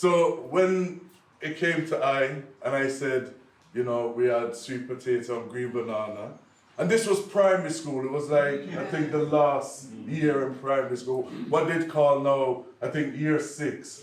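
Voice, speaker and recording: Speech comes at a fairly slow pace with ordinary pitch variation, amid noticeable background noise and audible room echo. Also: man, fairly high pitch for a man. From Liverpool, England, Jamaican family. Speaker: poet. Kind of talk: conference talk. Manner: animated.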